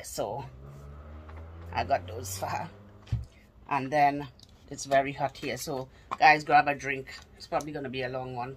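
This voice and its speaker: A woman's very deep, low pitch with vocal fry, a moderate pace and light background noise. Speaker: haul vlogger. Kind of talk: casual vlog chat. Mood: cheerful, enthusiastic. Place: home room. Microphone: phone near.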